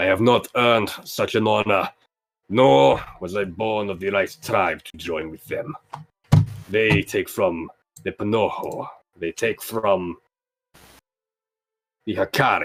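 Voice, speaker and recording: A man does a put-on character voice at a fairly low pitch and a fairly slow pace. Long, frequent pauses break up his speech. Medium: actual play. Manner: formal, solemn.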